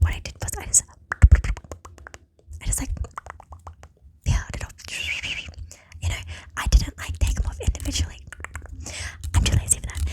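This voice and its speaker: Whispering in a gentle tone at a fairly quick pace, a woman leaves long, frequent pauses, her loudness swinging widely over noticeable background noise. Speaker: ASMR content creator. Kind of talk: ASMR whisper ramble to camera. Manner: gentle, whispering, chatty.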